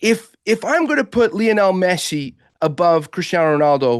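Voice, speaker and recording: A man with an American accent and a normal speaking voice, fairly slow with lively intonation, dry and close with no echo against a quiet background. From Portugal. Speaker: football expert. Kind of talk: sports talk show discussion.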